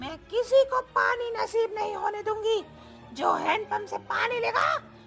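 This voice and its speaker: An extremely high-pitched, cartoonish character voice speaks at a fairly slow pace. Music plays clearly in the background. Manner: menacing.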